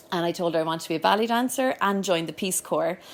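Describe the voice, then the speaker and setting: A woman's fairly low voice in a Cork accent, with lively intonation and a very fast pace. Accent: Cork Irish. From Ireland, Cork. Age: 30s. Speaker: yoga school owner. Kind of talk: personal talk. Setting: live event with audience.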